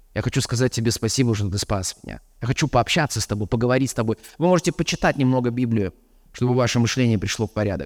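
At a very fast pace, a man with a medium pitch talks with ordinary pitch variation, captured in a dry, close sound with no echo. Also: very clean recording, silent background. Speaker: preacher. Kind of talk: sermon.

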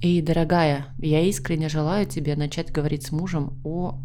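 In a room with audible echo, a woman talks at a moderate pace in a very deep, low pitch. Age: 30s. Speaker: psychologist, podcast host. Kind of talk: advice monologue. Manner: gentle, warm.

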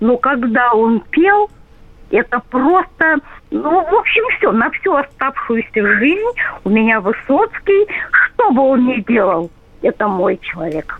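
A woman speaks at a very slow pace. Her high pitch rises and falls in very wide swings. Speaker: radio caller. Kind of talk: phone-in reminiscence. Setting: phone call.

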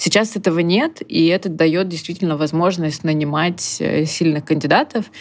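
A woman speaks in a plain, everyday voice, fairly low in pitch, at a moderate pace. Her loudness stays very even, and her pitch varies in an ordinary way. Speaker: recruitment agency founder. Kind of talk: interview.

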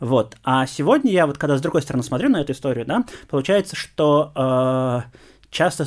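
The recording is very clean with a silent background, and the man's pitch rises and falls in an ordinary way. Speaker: university lecturer, geographer. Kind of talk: interview. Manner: hesitant, many fillers.

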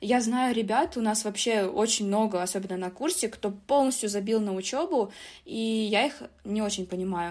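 In a plain, everyday voice, a woman talks at a fairly high pitch and moderate pace with ordinary pitch variation, on a very clean recording with a silent background. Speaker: business informatics student and IT employee. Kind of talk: interview.

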